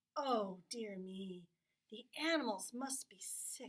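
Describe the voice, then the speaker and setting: Putting on a character voice, a woman talks at a fairly slow pace with a fairly high pitch and lively intonation. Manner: wailing, distressed.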